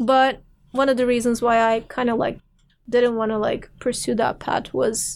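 At a fairly slow pace, a woman with a Turkish accent speaks with fairly even intonation. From Turkey, Istanbul. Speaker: philosophy PhD candidate and film programmer. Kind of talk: interview conversation. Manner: frequent fillers, hesitant restarts.

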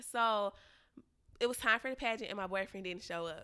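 The tone is bright and sharp, with ordinary pitch variation. The recording is very clean, with a silent background. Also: woman. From Louisiana. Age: 20s. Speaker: podcast guest sharing relationship story. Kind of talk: casual chat.

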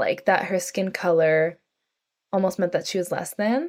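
A woman talks at a moderate pace with an American accent. Her pitch is medium. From US, North San Francisco Bay Area, California. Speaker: podcast guest, intuitive. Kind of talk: casual interview conversation.

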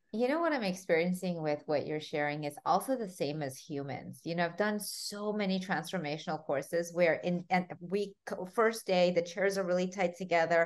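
A woman's fairly low voice at a moderate pace, with ordinary pitch variation and hardly any pauses. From Armenia. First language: Armenian. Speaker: life coach and podcast host. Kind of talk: interview conversation. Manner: animated.

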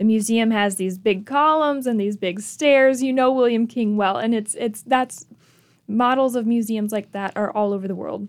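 With an American accent and a plain, everyday voice, a woman speaks at a moderate pace, her pitch fairly high with ordinary pitch variation. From Michigan. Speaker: museum curator. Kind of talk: radio interview.

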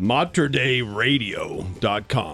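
A man does a put-on character voice at a medium pitch with lively intonation, and faint music plays in the background. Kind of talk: professional broadcast.

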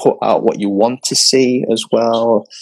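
Recorded with a dry, close sound and no echo, a man in an English accent talks at medium pitch and a moderate pace. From England, London and the north. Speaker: podcast host. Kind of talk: casual chat. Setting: video call. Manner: halting.

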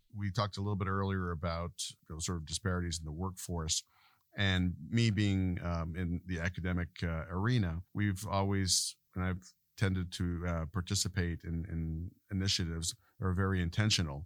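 Recorded very cleanly against a silent background, a man talks at a moderate pace in a very deep, low voice with fairly even intonation. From Quebec, Canada. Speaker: academic cardiologist. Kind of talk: interview.

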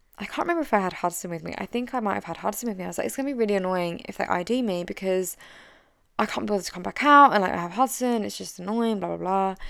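A woman with an English accent speaks at a medium pitch with ordinary pitch variation, in a very clean recording with a silent background. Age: 30s. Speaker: business coach. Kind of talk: solo podcast monologue. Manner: direct.

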